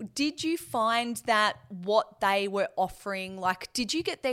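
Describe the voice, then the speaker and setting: An ordinary speaking voice carries lively intonation. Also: woman. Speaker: podcast co-host. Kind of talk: casual interview chat.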